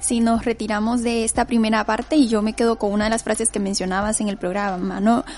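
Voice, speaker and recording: A woman with an unremarkable speaking voice and a fairly high pitch talks at a fairly quick pace with hardly any pauses and fairly even intonation. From Nicaragua. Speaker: radio host. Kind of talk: radio interview.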